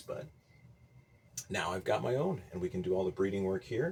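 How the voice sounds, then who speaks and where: The voice is quiet and somewhat breathy. Its pitch variation is ordinary. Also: man. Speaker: agriculture teacher and home gardener. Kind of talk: casual video vlog. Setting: small greenhouse at night. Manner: low, quiet voice.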